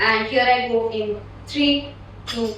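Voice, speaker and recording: A woman's fairly even intonation against noticeable background noise. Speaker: slam poet. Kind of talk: event host introduction.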